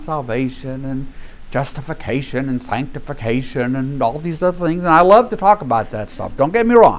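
The pitch of this man's fairly high voice swings very widely. He keeps a moderate pace, and room echo is audible. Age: 70s. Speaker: Bible study teacher. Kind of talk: Bible study lecture.

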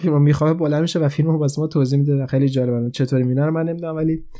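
Against a quiet background, a man with a fairly high pitch and a dark, mellow tone talks at a very fast pace with fairly even intonation. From Iran. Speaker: podcast host, film reviewer. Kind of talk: casual film review monologue.

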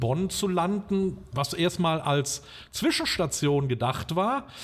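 A man with an ordinary speaking voice talks at a fairly slow pace with ordinary pitch variation. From western Germany, Limburg an der Lahn region (Hesse). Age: 50s. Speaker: restaurant owner. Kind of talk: interview. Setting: outdoors in a park.

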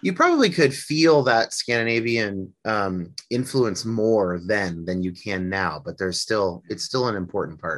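The speaker moves at a fairly slow pace with lively intonation and hardly any pauses. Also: man, fairly low pitch for a man. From Northern California, US. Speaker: musician and psychology student. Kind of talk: interview conversation.

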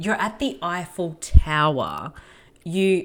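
A woman at a very slow pace with lively intonation, on a very clean recording with a silent background. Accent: Australian. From Australia. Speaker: podcaster. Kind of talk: casual chat.

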